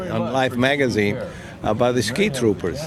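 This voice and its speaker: With an Italian accent, a man speaks at a medium pitch with ordinary pitch variation, amid audible room echo and noticeable background noise. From northern Italy, Turin. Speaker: war veteran. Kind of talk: oral history interview. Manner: halting, many fillers.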